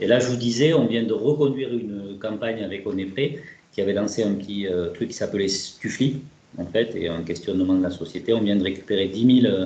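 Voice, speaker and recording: Speaking at a fairly quick pace in a southern French accent, a man with a fairly low pitch shows ordinary pitch variation in audible room echo. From southern France (Toulouse). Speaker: researcher / statistician. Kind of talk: webinar presentation. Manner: hesitant, many filler words.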